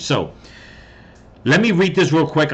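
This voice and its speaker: The pace is moderate as this man talks. Ordinary variation shows in his pitch. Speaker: political commentary YouTuber. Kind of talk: casual commentary vlog. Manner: halting, many fillers.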